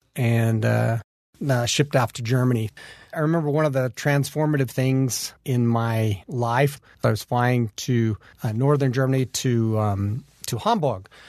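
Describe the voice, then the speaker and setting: A man with an American accent, medium pitch, and a fairly slow pace. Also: ordinary pitch variation. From Utah, US. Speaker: army veteran. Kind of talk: interview testimony. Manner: halting, repeats words.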